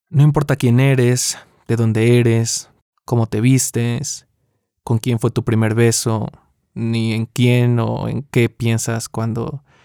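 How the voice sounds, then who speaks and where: Very slow, flat, monotone delivery from a man with a Mexican accent and a dark, mellow tone. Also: dry, close sound with no echo. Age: 20s. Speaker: podcast host. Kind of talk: scripted narration.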